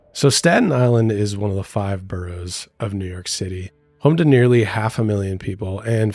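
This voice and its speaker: Music plays in the background as a man talks at a fairly low pitch, with a moderate pace and ordinary pitch variation. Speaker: podcast co-host. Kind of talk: casual chat.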